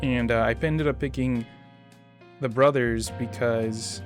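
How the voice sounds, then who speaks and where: Over music in the background, a man talks at medium pitch with lively intonation. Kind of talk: gameplay commentary. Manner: hesitant, with stutters and filler sounds.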